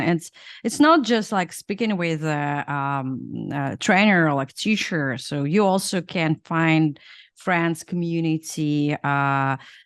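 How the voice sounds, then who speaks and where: A woman with a fairly low voice and ordinary pitch variation, very slow pace and a quiet background. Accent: Russian. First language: Russian. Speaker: podcast host, former product manager. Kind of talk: interview conversation. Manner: halting, many fillers.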